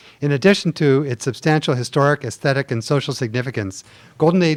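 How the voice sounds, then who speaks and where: A man with an American accent talks with ordinary pitch variation in a dry, close sound with no echo. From California, southern Marin County. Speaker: business owner giving public comment. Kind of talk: prepared public comment at hearing. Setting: public commission meeting. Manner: formal.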